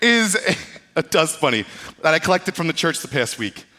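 A man's raised, projected voice, bright and sharp, with an animated tone. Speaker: pastor. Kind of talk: sermon. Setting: church service livestreamed online. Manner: fast-talking.

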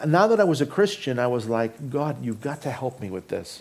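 The voice is a normal speaking voice delivered at a fairly quick pace. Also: man. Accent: Canadian. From Canada, Toronto; Greek family. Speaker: pastor. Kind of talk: sermon. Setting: church.

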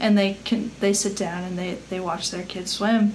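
A woman with an American accent speaks at a moderate pace in a monotone, flat intonation, with audible room echo and noticeable background noise. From Colorado. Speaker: former college athlete. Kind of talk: casual chat.

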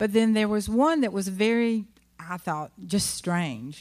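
In a very clean recording with a silent background, a woman uses a plain, everyday voice at a moderate pace with ordinary pitch variation. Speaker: pastor's wife. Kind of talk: testimony. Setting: church.

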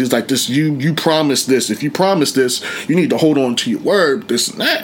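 A man speaks at a moderate pace with a fairly high pitch and an American accent, over noticeable background noise. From Pittsburgh, Pennsylvania. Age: 30s. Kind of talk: interview, life story. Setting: studio. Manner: casual, halting with fillers.

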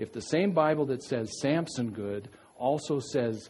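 The voice is somewhat breathy, with a dark, mellow tone. Room echo can be heard. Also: man. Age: 50s. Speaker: pastor. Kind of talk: sermon. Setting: church. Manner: halting.

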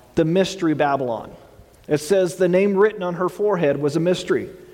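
A man's high voice with an American accent, over noticeable background noise. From Texas. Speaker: pastor. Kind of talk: sermon. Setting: church. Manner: halting, with filler words.

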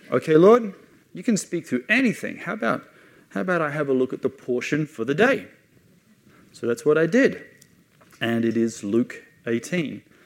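In an Australian accent, a man talks at a moderate pace. His pitch swings very widely. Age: 40s. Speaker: missionary. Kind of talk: sermon.

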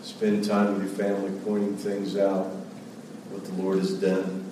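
A man's fairly low voice at a very slow pace, with audible room echo and noticeable background noise. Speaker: pastor. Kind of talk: sermon. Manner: soft-spoken.

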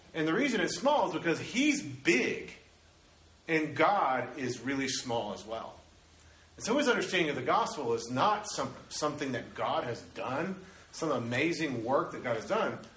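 A man's animated voice, fairly high in pitch with very wide pitch swings, at a moderate pace amid audible room echo and noticeable background noise. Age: 30s. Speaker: pastor. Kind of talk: sermon.

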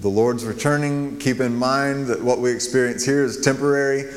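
Over noticeable background noise and audible room echo, a man talks at a fairly quick pace in a medium pitch with fairly even intonation. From New Mexico. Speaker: guest preacher. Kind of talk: sermon. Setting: church.

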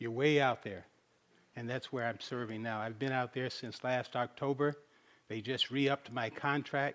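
A man with an ordinary speaking voice, medium pitch, fairly even intonation and a moderate pace, over a quiet background. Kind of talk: sermon.

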